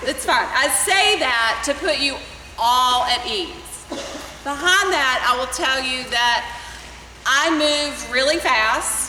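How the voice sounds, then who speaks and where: A woman's raised, projected voice at high pitch comes at a very slow pace, with audible room echo and noticeable background noise. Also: ordinary pitch variation. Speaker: swim club coach. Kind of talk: parents meeting briefing.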